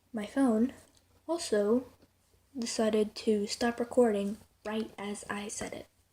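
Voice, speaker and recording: A woman's dark, mellow, somewhat breathy voice moves at a fairly slow pace, swinging widely in loudness, with long, frequent pauses. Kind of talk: casual talk to camera. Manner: monotone.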